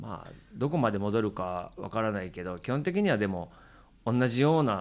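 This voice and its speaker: A man with a fairly low pitch and lively intonation speaks at a moderate pace in a very clean recording with a silent background. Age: 50s. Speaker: drummer and live venue booker. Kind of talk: casual chat.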